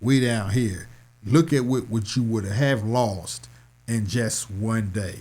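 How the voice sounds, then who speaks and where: A man with medium pitch speaks at a fairly slow pace in a plain, everyday voice. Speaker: stock market educator and DJ. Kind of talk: tutorial. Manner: casual.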